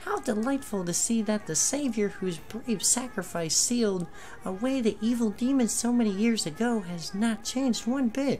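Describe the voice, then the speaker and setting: Someone does a put-on character voice with fairly high pitch. The pace is moderate, and clear background noise is present. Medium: actual play. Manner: solemn, dramatic.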